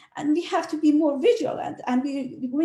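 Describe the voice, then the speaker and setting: Her voice high and her tone dark and mellow, a woman with a non-native accent speaks with very wide pitch swings. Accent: foreign. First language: not English. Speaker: realtor. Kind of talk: panel discussion. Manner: halting.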